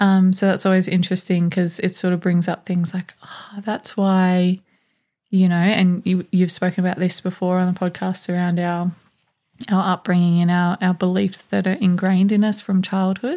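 A woman's relaxed, dark, mellow voice with an Australian accent, medium in pitch, monotone and flat at a moderate pace, on a very clean recording with a silent background. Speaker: podcast co-host. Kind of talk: casual chat. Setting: studio.

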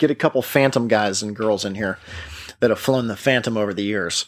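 On a very clean recording with a silent background, a man talks with a normal speaking voice. His pitch is medium and his intonation fairly even. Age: 30s. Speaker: podcast host, warbird aviation mechanic. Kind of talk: casual solo podcast monologue. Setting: outdoors at sunset.

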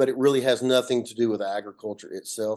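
At a fairly quick pace, a man with an Appalachian accent speaks at medium pitch against a quiet background. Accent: Southern US, Appalachian. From north Georgia, US. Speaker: solar company CEO. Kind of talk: interview, explanatory talk. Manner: conversational, hesitant with fillers.

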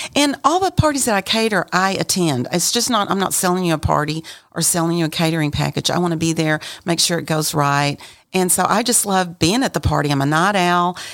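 A woman with an American accent talks at a fairly quick pace in an ordinary speaking voice, her pitch fairly low and her intonation lively. Her loudness stays very even. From West Texas, Amarillo. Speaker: caterer. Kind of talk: casual chat.

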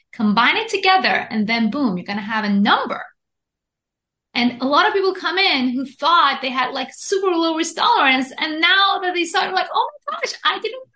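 In a raised, projected voice, a woman speaks at a moderate pace with an extremely high pitch, very wide pitch swings and a bright, sharp tone. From Iran. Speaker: investment educator and author. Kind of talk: interview.

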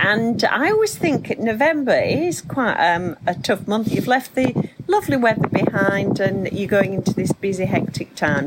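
A British accent with lively intonation, over noticeable background noise. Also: woman. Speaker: podcast host. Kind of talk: casual chat.

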